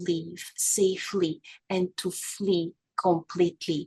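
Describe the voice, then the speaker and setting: This woman's medium-pitched voice stays monotone and flat, with a dry, close sound and no echo. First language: French. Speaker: abuse survivor and podcast host. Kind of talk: testimony.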